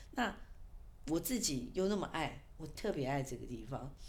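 A woman talks at a moderate pace with lively intonation. Audible room echo surrounds her voice. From Taiwan, Kaohsiung military village. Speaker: author and PR consultant. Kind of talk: interview.

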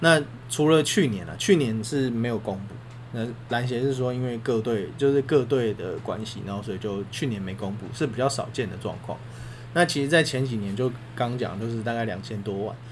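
A man at medium pitch talks at a fairly quick pace with ordinary pitch variation, amid audible room echo and noticeable background noise. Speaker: sports podcast co-host. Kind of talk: casual chat.

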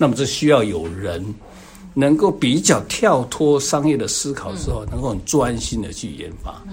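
Over audible room echo, a man with a medium pitch speaks at a moderate pace, with very wide pitch swings and big swings in loudness. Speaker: reflexology instructor and co-author. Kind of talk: interview.

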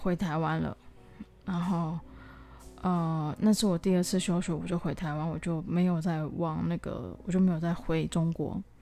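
At a moderate pace, a woman speaks in a flat monotone with fairly low pitch and a dark, mellow tone. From southern Taiwan. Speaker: podcaster. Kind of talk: personal diary monologue. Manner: hesitant, many fillers.

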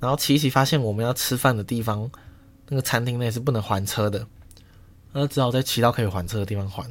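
Delivering his words at a very fast pace, a man speaks in a medium pitch with fairly even intonation. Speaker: podcast host. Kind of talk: casual solo monologue.

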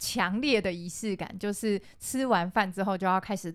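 A woman speaks at a moderate pace and medium pitch in a plain, everyday voice. The recording is very clean, with a silent background. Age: 30s. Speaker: podcast co-host. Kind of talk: casual chat.

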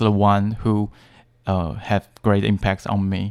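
On a very clean recording with a silent background, a man with a Chinese accent speaks at a fairly low pitch. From Taiwan, Taipei. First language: Mandarin Chinese. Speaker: English teacher and author. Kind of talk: interview. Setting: studio. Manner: halting.

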